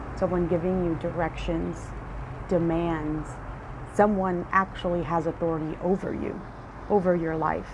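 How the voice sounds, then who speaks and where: At a moderate pace and with flat, monotone intonation, a woman with a fairly low pitch speaks with long, frequent pauses, with noticeable background noise and audible room echo. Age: 30s. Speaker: podcast host. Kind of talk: solo reflective monologue. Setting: outdoors on front porch.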